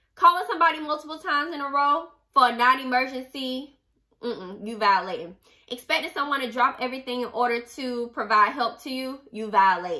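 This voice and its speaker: A woman's raised, projected, high-pitched voice with a bright, sharp, animated tone, lively intonation, big swings in loudness and a fairly quick pace over a quiet background. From US. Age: 30s. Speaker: book club podcast host. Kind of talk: casual monologue with book readings. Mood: sassy, emphatic. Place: home room. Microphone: studio mic.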